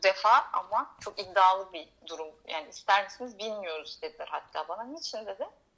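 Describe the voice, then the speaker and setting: Bright and sharp in tone, the voice runs with hardly any pauses, lively intonation and big swings in loudness. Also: woman, medium pitch for a woman, moderate pace. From Turkey, Izmir. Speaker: singer-songwriter. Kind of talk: radio interview, casual chat.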